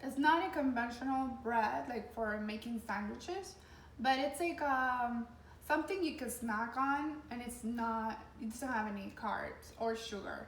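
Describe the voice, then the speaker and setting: A woman with a high pitch and lively intonation is heard with audible room echo and noticeable background noise. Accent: strong non-native. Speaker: lifestyle coordinator. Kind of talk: cooking tutorial. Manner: hesitant, many fillers.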